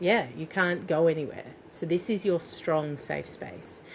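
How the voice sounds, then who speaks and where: A woman's fairly low-pitched, normal speaking voice at a moderate pace with fairly even intonation. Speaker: parenting coach and doula. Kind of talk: guided exercise in interview.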